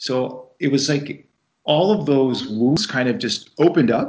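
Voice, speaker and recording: A man talks at a very slow pace. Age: 40s. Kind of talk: interview.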